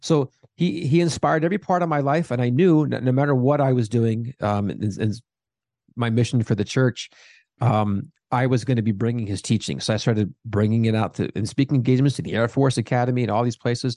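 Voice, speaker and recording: In a quiet background with a dry, close sound and no echo, a man with an unremarkable speaking voice talks at a fairly quick pace with medium pitch and ordinary pitch variation. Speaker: theologian and Sheen advocate. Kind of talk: casual chat.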